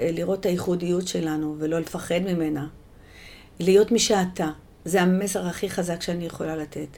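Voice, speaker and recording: A woman speaks at a fairly slow pace. Her voice is fairly low, with a dark, mellow tone. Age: 60s. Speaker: poet. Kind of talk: interview.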